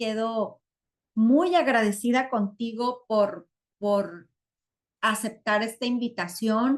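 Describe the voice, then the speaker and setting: A woman's fairly high voice at a very slow pace, with ordinary pitch variation against a quiet background. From Mexico, Sinaloa. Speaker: online community host. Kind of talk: live webinar closing remarks. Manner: warm, effusive.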